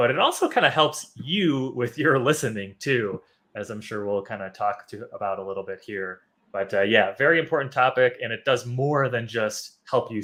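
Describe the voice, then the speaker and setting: A man speaks at a moderate pace in a bright, sharp tone. His loudness swings widely. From US Midwest, Chicago. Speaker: English teacher. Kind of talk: live online class. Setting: live stream.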